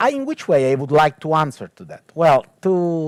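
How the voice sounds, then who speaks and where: A man in an Italian accent speaks at a fairly slow pace and fairly high pitch, with lively intonation. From Italy. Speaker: technology ethicist and theologian. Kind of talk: panel talk. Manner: hesitant, many fillers.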